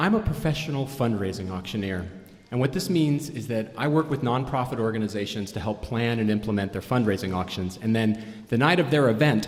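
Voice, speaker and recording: A normal speaking voice from a man, medium in pitch. He talks at a fairly quick pace with lively intonation. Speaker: fundraising auctioneer and storyteller. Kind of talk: live storytelling performance. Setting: live stage, audience.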